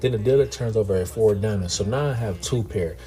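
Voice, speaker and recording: A man's fairly low voice at a fairly quick pace, with ordinary pitch variation and music in the background. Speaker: poker vlogger. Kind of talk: casual vlog commentary on poker hands. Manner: slurring words.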